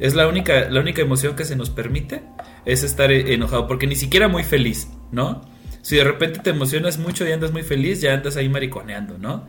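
A man talks very fast in a fairly high voice, with ordinary pitch variation. Music plays in the background, and the room echo is audible. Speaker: podcast co-host. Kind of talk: casual chat. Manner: halting, many fillers.

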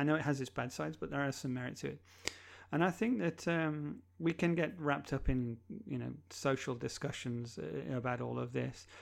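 The recording is very clean with a silent background as a man talks at a moderate speed. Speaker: digital transformation consultant. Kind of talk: casual interview.

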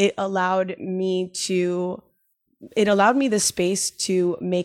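A woman speaks at medium pitch in a normal speaking voice. Her pace is fairly slow, with ordinary pitch variation. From Miami, Cuban-American family. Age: 30s. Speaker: lawyer and nonprofit founder. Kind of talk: podcast interview.

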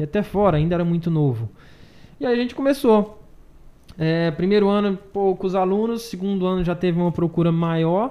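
A man with a high-pitched voice talks at a moderate pace with ordinary pitch variation. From Brazil, Maranhão (Açailândia). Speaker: CrossFit gym owner and coach. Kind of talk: casual chat.

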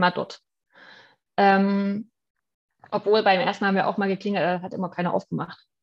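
A woman speaks against a quiet background. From Saxony, Germany. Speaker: florist. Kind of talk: casual chat. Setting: online call.

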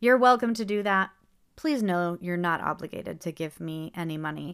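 A woman speaks at a fairly low pitch with ordinary pitch variation. The recording is very clean, with a silent background. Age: 30s. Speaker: podcast host. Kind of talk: casual monologue. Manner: rambling, conversational.

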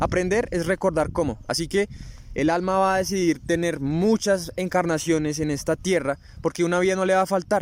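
A man with a high voice keeps his loudness very even and his intonation fairly even. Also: moderate pace. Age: 20s. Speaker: spiritual podcast host. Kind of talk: spiritual talk. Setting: outdoors in a park.

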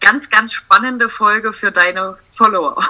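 Her delivery is fairly slow. This woman's intonation rises and falls in a lively way. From Saxony-Anhalt, eastern Germany (Sangerhausen). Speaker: family photographer. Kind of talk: casual interview chat.

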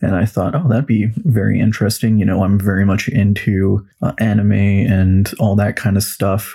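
In a Western Canadian accent, a man speaks with a dark, mellow tone and fairly low pitch, his loudness very even, his intonation fairly even and his speech carrying hardly any pauses. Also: moderate pace. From Western Canada (Kelowna, British Columbia). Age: 20s. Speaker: podcast host and tabletop game master. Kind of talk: casual solo monologue.

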